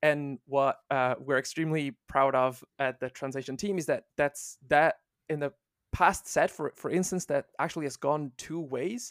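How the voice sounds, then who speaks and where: A man with an Italian accent, fairly high in pitch with ordinary pitch variation, at a moderate pace, dry and close with no echo on a very clean recording with a silent background. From Italy. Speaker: volunteer translation team lead. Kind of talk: interview.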